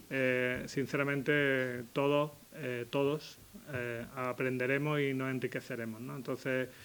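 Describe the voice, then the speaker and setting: Flat and monotone, a man talks at a fairly slow pace in a medium pitch. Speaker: psychiatrist giving a talk. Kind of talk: public talk.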